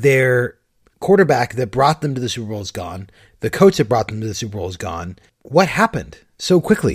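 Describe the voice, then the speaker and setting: Talking at a fairly quick pace, a man with a somewhat breathy, medium-pitched voice makes very wide pitch swings and big swings in loudness. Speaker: podcast host. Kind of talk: casual banter, comedic podcast. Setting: remote recording from Seattle.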